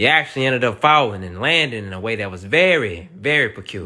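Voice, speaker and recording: In a very clean recording with a silent background, a man with a Southern US accent speaks at a fairly quick pace, his bright, sharp tone sweeping through very wide pitch swings. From US South. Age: 20s. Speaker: comedian reacting to viral videos. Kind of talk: comedic reaction commentary. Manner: animated.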